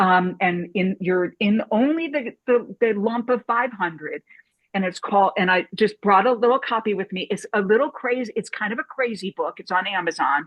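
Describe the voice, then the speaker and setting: Using a normal speaking voice, a woman talks at medium pitch and a moderate pace with ordinary pitch variation. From US Midwest, St. Louis. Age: 60s. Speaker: documentary filmmaker and film professor. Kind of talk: panel discussion.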